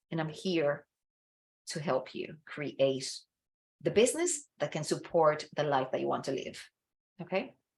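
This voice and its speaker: Speaking fairly slowly, a woman talks with a non-native accent. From Dominican Republic. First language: Spanish. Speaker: business coach. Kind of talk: online masterclass presentation. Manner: enthusiastic, encouraging.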